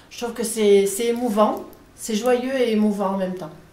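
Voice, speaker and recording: Noticeable background noise and audible room echo surround a woman speaking at a fairly high pitch. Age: 60s. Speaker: catechumen preparing for baptism. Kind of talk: interview testimony. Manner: somewhat halting.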